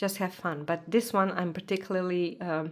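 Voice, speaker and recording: A woman speaks at medium pitch with a non-native accent. The recording is very clean, with a silent background. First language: not English. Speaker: tarot content creator. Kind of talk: casual show-and-tell vlog. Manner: animated.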